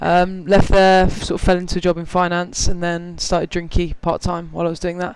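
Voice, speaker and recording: A man with a British accent speaks at a high pitch with monotone, flat intonation. He moves at a fairly quick pace with hardly any pauses. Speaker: app co-founder. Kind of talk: casual interview. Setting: live recording with audience.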